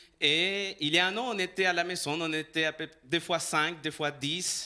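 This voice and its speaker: With ordinary pitch variation, a bright, sharp tone comes through on a very clean recording with a silent background. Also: man. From El Salvador. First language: Spanish (speaking French). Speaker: pastor. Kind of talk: sermon. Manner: halting.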